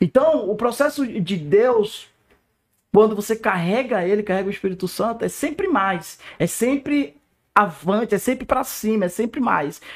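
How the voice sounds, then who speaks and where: An animated male voice, high-pitched for a man, with lively intonation. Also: moderate pace. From Northeast Brazil. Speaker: pastor. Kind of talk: testimony.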